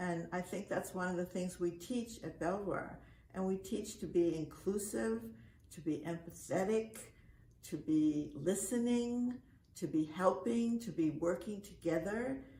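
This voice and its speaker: Over noticeable background noise, a woman talks with lively intonation at a medium pitch. Her pace is fairly slow. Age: 80s+. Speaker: camp director. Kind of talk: speech. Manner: halting.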